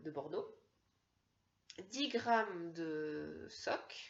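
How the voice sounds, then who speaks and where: Her fairly high voice swings very widely in pitch as the woman speaks. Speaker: knitting podcaster. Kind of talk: casual talk to camera. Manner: slow.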